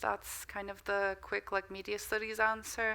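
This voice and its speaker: A woman with a slight American accent talks at a medium pitch in a bright, sharp tone, recorded very cleanly against a silent background. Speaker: media studies lecturer. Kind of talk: lecture Q&A answers. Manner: hesitant, many fillers.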